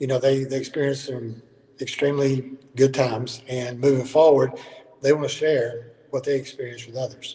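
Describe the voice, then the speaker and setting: A man talks in a Southern US accent at a moderate pace. His intonation is monotone and flat. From Alabama. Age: 60s. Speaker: basketball coach. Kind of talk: casual interview.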